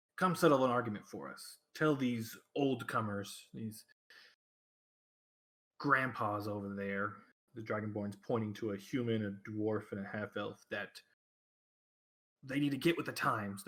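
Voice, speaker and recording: Using a put-on character voice, a man speaks raspy at medium pitch and a moderate pace, with ordinary pitch variation and long, frequent pauses. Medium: actual play. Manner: brash, pushy.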